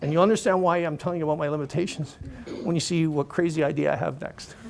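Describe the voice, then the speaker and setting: Very fast speech from a man with a fairly high pitch, over noticeable background noise. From Canada (Toronto). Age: 60s. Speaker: motivational speaker, cancer patient and charity fundraiser. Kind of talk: motivational speech.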